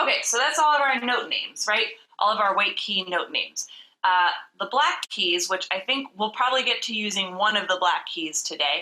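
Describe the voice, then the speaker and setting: At a moderate pace, a woman talks in an ordinary speaking voice with a medium pitch and lively intonation. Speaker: vocal coach. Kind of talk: tutorial. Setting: video call.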